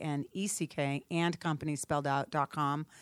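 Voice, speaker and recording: A woman speaks with a very deep, low pitch. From Cape Cod, Massachusetts. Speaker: real estate business owner. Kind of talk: interview. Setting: studio.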